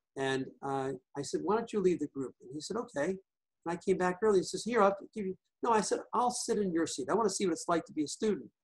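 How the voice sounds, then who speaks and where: Very fast speech with lively intonation and big swings in loudness comes in a New York accent. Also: man, high pitch for a man, dry, close sound with no echo. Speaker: hypnotherapist and EFT practitioner. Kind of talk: interview.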